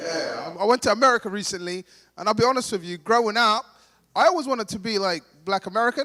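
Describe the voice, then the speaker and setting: Raising and projecting his voice, a man with a London accent speaks at a high pitch and fairly quick pace, bright and sharp in tone with lively intonation, in a dry, close sound with no echo. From Somalia, raised in London. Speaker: stand-up comedian. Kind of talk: stand-up. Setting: stage with audience at gala dinner.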